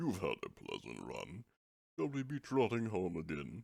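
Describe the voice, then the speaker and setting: A man puts on a character voice at medium pitch, moving at a moderate pace. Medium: read story. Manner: curt, gruff.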